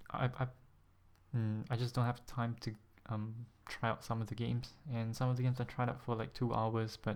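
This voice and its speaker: Soft-spoken and monotone, a man talks at a medium pitch and a fairly slow pace with flat intonation. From Singapore. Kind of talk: casual vlog talk to camera.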